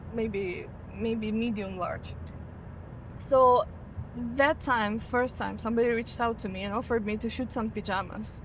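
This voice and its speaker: A woman's somewhat breathy, fairly high voice with a Ukrainian accent, at a moderate pace with fairly even intonation and long, frequent pauses. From Ukraine. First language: Ukrainian or Russian. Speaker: model and content creator. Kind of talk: casual interview. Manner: halting, searches for words.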